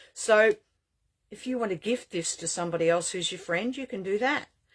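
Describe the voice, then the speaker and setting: This woman talks with lively intonation. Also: very clean recording, silent background. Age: 60s. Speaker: shop owner selling witchcraft supplies. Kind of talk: sales pitch. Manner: animated.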